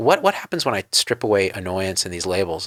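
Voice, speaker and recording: Recorded with a dry, close sound with no echo and a very clean recording with a silent background, a man with a normal speaking voice talks at a moderate pace. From New Jersey. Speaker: interviewer, doctor. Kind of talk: interview.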